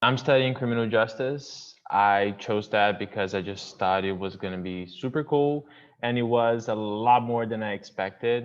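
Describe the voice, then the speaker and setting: Using a Portuguese accent, a man speaks at a moderate pace and medium pitch, his pitch varying in an ordinary way, with hardly any pauses. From Brazil, São Paulo state, Campinas. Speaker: university student. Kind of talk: casual self-introduction.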